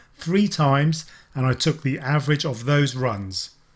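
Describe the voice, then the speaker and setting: In a very clean recording with a silent background, a man speaks at a fairly high pitch in a somewhat breathy voice. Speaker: tech reviewer. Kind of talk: tutorial.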